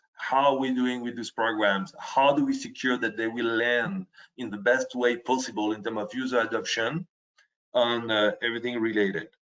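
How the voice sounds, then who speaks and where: Speaking at a medium pitch, this man talks in a French accent. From France. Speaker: software presenter. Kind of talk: webinar presentation. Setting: online webinar. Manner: halting, with frequent self-corrections.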